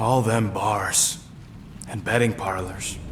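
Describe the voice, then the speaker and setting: Putting on a character voice, a man drawls at a fairly slow pace with a fairly low pitch against clear background noise. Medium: video game. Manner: sarcastic, drawling slang.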